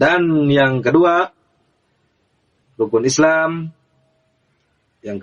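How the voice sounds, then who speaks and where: A man talks here. The rise and fall of his pitch is ordinary. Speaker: religious teacher. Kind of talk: religious lesson to camera. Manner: slow, explanatory.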